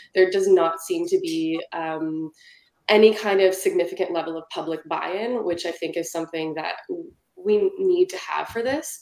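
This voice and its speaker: At a moderate pace, a woman with a plain, everyday voice speaks at medium pitch with ordinary pitch variation and big swings in loudness. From Ontario, Canada. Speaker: city council candidate. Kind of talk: candidate debate. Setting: video call.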